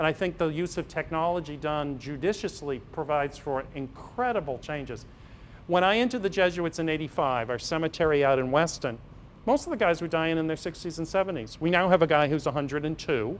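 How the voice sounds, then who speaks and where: This man has an ordinary speaking voice with a fairly high pitch and an American accent. He talks at a fairly quick pace. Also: ordinary pitch variation. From Massachusetts, Marshfield. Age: 50s. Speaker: Jesuit priest and physician. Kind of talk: lecture. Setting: parish hall with audience. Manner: casual, anecdotal.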